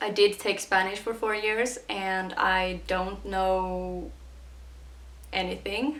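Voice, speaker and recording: A woman with a Swedish accent talks at a very slow pace in a monotone, flat intonation. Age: 20s. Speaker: YouTuber. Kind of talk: casual Q&A vlog.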